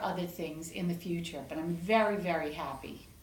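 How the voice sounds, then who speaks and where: Speaking with an American accent, a woman uses a fairly low pitch and ordinary pitch variation. Noticeable background noise and audible room echo fill the recording. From New York City. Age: 60s. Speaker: patient giving testimonial. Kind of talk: interview testimonial.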